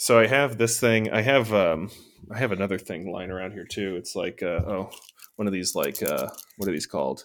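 An unremarkable speaking voice from a man, fairly low in pitch with ordinary pitch variation, big swings in loudness and a moderate pace, in a very clean recording with a silent background. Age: 30s. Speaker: podcast co-host, home cook. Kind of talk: casual chat.

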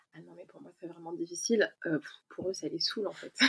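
Recorded with a dry, close sound and no echo, a woman talks at a moderate pace and medium pitch with ordinary pitch variation. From France, Ain near Lyon. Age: 30s. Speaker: expatriate guest. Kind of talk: casual chat.

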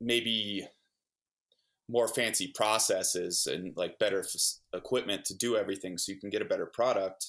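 A man speaks at a moderate pace in a very clean recording with a silent background. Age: 20s. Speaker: winemaker and winery owner. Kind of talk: casual interview.

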